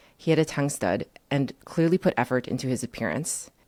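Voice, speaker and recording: A woman with a Chinese accent uses lively intonation in a very deep, low voice, recorded dry and close with no echo. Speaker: writer and former trader. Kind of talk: reading aloud; interview.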